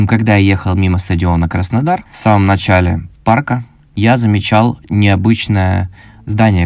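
A man talks with a very deep, low pitch. His intonation is fairly even and his pace moderate. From Krasnodar, southern Russia. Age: 20s. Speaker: podcast host, marketer. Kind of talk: solo podcast monologue.

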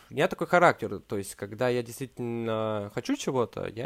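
A man speaks in a plain, everyday voice at a medium pitch. His intonation is lively. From Urals, Russia (Verkhnyaya Pyshma near Yekaterinburg). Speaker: film director and producer. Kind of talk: interview, casual chat. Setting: remote call.

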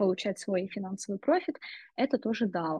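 A woman's somewhat breathy voice at medium pitch, moving at a moderate pace. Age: 20s. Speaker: marketing director. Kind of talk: interview.

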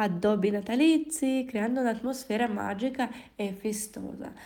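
A woman speaks very slowly in a somewhat breathy, dark, mellow tone. Her voice sits fairly high, with ordinary pitch variation. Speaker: language teacher. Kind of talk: language lesson podcast.

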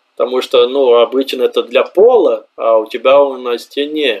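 A man is speaking. He keeps a moderate pace. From southern Brazil, Santa Maria. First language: Portuguese (speaking Russian). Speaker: immigrant, office worker. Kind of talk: interview. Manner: animated.

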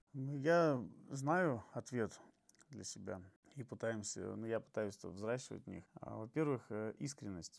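At a very slow pace with long, frequent pauses, a man of medium pitch speaks with lively intonation and big swings in loudness. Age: 30s. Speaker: HIV awareness activist. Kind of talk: podcast interview.

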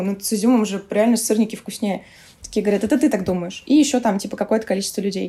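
Talking at a very fast pace, a woman has a fairly high pitch, a dark, mellow tone, a somewhat breathy quality and ordinary pitch variation. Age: 20s. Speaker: head of a vegan food producer. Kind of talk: casual interview chat.

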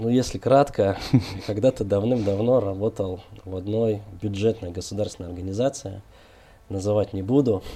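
With a dark, mellow tone and fairly low pitch, a man talks at a moderate pace in a somewhat breathy voice, his intonation fairly even and his pauses long and frequent. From Kazakhstan (Almaty), then Moscow region. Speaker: co-founder of a digital agency. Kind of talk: interview.

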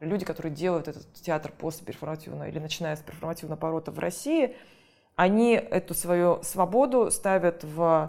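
A woman with a normal speaking voice talks at a medium pitch and fairly quick pace, with ordinary pitch variation, on a very clean recording with a silent background. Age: 40s. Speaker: theatre critic and curator. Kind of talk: casual interview.

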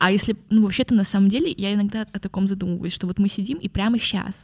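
A woman talks at a very fast pace, her pitch in the middle range and her voice somewhat breathy. The sound is dry and close with no echo, and her intonation stays fairly even. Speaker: podcast guest. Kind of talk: casual chat.

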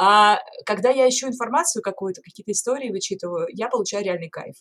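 A woman speaks at a very fast pace. Her pitch is fairly high, with ordinary pitch variation. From Norilsk, Russia. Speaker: singer turned lighthouse tour guide. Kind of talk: casual interview conversation.

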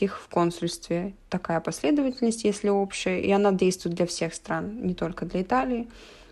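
A woman speaks at a medium pitch and a moderate pace, her tone dark and mellow, with ordinary pitch variation. The recording is very clean, with a silent background. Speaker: architecture student. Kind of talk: interview.

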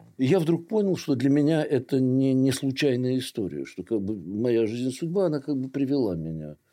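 Against a quiet background, a man speaks at a moderate pace in a medium pitch, with a dark, mellow tone and lively intonation. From Russia, St Petersburg. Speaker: theatre director and heritage preservation activist. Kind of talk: interview.

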